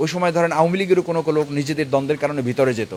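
A man speaks in a fairly high pitch with ordinary pitch variation. Noticeable background noise is present. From Bangladesh, Patuakhali (Bauphal). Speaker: politician, parliamentary candidate. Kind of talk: interview.

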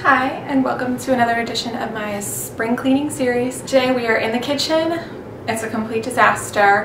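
A woman talks at a moderate pace with ordinary pitch variation. Noticeable background noise runs behind her. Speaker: home cleaning vlogger. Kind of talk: casual vlog chat. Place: kitchen.

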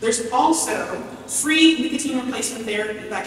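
There is strong room echo around a woman with a high pitch and ordinary pitch variation, plus light background noise. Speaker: public health professor and researcher. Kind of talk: prepared speech. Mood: earnest, encouraging. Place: hall.

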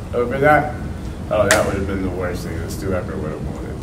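Loud background noise runs under the recording. A man speaks at a fairly quick pace. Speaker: podcaster on a panel. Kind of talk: roundtable discussion answer. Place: meeting room.

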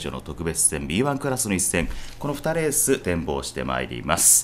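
A man talks at a moderate pace while noticeable background noise carries on around him. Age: 40s. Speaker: horse racing announcer. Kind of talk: race preview program. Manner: formal.

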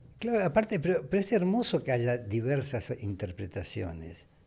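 This man's voice has a dark, mellow tone and some vocal fry. He speaks at a moderate pace. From Argentina. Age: 80s+. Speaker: former radio and TV host; former radio, TV host. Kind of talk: casual interview chat. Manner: halting, repeats words. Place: studio. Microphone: studio mic.

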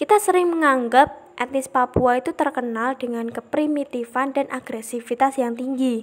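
At a moderate pace and with hardly any pauses, the speech shows ordinary pitch variation. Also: woman, high pitch for a woman. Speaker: psychology student. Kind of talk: class presentation.

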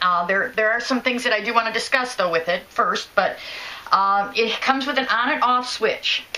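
A woman's fairly high voice at a moderate pace, with ordinary pitch variation. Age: 50s. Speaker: product reviewer. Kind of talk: product review tutorial. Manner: hesitant, with fillers. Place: home room. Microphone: phone near.

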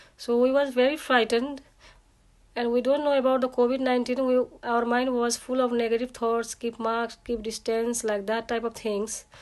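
Against a quiet background, a woman with a high pitch speaks at a moderate pace in a monotone, flat intonation. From Nepal. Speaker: client testimonial giver. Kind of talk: testimony. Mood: grateful, earnest. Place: home room. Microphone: phone near.

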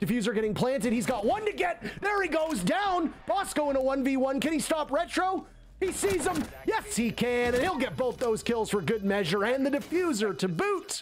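A man speaks at an extremely high pitch in an animated tone, his pitch swinging very widely while his loudness stays very even. Noticeable background noise sits behind him. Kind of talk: esports commentary. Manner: animated, excitable play-by-play that speeds up and jumps on each kill; rapid-fire, breathless.

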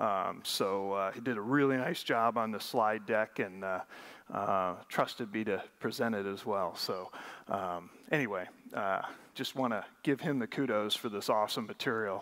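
Against a quiet background, a man uses a normal speaking voice at a fairly low pitch, with ordinary pitch variation and a moderate pace. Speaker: conference presenter. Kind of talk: lecture. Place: stage.

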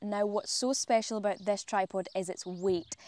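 A woman speaks at a moderate pace. The sound is dry with no echo. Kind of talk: tutorial. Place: garden. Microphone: lapel.

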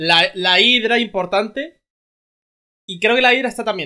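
The voice belongs to a man with a high pitch. Its tone is bright and sharp.

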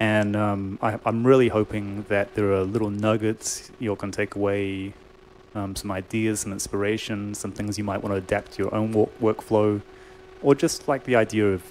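Light background noise sits behind a man speaking at a moderate pace in a fairly low pitch with a monotone, flat intonation. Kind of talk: online workshop talk, casual. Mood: relaxed, friendly, some laughter. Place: studio. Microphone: studio mic.

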